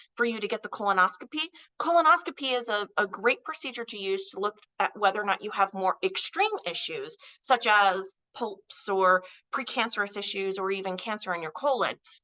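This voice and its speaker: Her bright, sharp tone and lively intonation come at a fairly quick pace as a woman speaks with a dry, close sound with no echo. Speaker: weight loss clinic health educator. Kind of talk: informational presentation. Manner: conversational, some hesitations.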